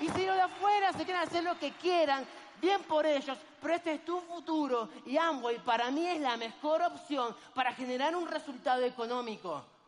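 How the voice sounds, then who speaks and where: A man with a Rioplatense accent and ordinary pitch variation. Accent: Argentine Spanish (rioplatense, voseo). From Argentina. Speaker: network marketing speaker. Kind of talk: motivational seminar talk.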